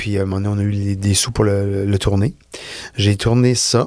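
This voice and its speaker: A man with a fairly low voice takes his time, talking at a fairly slow pace. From Quebec. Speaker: film and TV director. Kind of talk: casual interview. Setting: studio.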